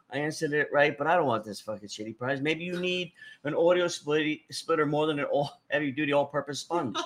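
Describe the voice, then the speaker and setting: Speaking with an American accent and ordinary pitch variation, the speaker has a plain, everyday voice. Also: man, fairly high pitch for a man. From New Jersey. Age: 50s. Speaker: podcast host. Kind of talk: casual chat.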